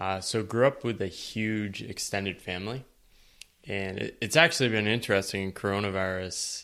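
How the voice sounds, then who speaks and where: With an American accent, a man talks at a moderate pace in a fairly low pitch, using fairly even intonation and a bright, sharp tone, on a very clean recording with a silent background. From US Northeast, eastern Connecticut. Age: 30s. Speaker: writer on work and life. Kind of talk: podcast interview.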